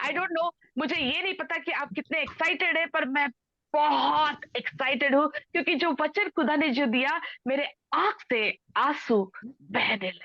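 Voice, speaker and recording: A bright, sharp tone carries a Telangana accent. The voice is raised and projected. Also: woman, high pitch for a woman. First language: Telugu (speaking Hindi). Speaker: preacher. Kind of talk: sermon. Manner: code-switching Hindi and English.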